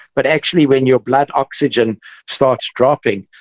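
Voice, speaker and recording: A man speaks in a monotone with flat intonation. His pace is moderate. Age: 60s. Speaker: dentist. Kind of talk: podcast interview.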